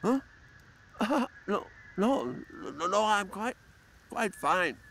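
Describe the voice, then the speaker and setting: A man uses a put-on character voice with high pitch and lively intonation. His pace is very slow. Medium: video game. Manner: stammering, apologetic.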